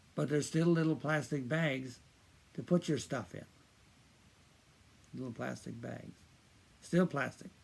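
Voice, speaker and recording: Speaking at a fairly slow pace with long, frequent pauses, a man with a fairly high voice shows vocal fry and ordinary pitch variation. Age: 80s+. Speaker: video commentator on environmental issues. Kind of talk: informal talk to camera. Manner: halting, with many fillers and repetitions.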